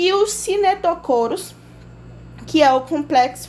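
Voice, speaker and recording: A woman with lively intonation. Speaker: biology teacher. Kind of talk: lecture.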